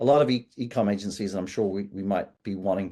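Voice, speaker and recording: A man's very fast, fairly low-pitched speech in a New Zealand accent, dark and mellow in tone, with ordinary pitch variation, over a quiet background. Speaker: agency CEO. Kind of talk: podcast interview. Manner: hesitant with fillers and restarts.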